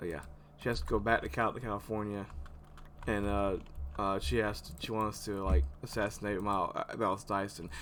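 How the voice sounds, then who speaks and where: A man's fairly low voice carries a bright, sharp tone. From US South. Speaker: gaming YouTuber. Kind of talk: casual gameplay commentary. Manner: halting, stuttering with repetitions.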